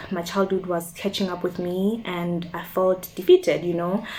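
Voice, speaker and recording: A woman's medium-pitched voice with hardly any pauses. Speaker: youtuber. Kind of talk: personal testimony vlog. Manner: fast.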